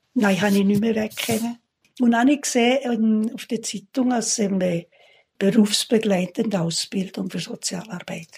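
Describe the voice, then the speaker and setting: Speaking at a moderate pace, a woman with a fairly high pitch sounds somewhat breathy, her intonation fairly even. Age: 80s+. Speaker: retired social worker. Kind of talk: casual interview. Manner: halting.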